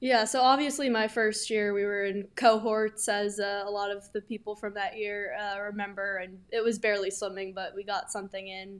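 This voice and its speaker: On a very clean recording with a silent background, a woman with an American accent speaks at a moderate pace and medium pitch, monotone and flat, with hardly any pauses. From New York City, Manhattan. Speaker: college swimmer. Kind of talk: casual interview.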